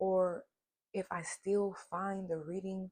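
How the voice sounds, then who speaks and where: This is a woman with a fairly low pitch. Her voice is somewhat breathy. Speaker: tarot reader. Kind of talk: casual chat. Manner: animated.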